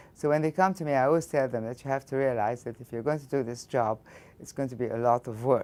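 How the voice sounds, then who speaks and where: A woman with an Egyptian accent talks at a very fast pace with ordinary pitch variation. Her pitch is very deep and low. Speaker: physics professor. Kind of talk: interview.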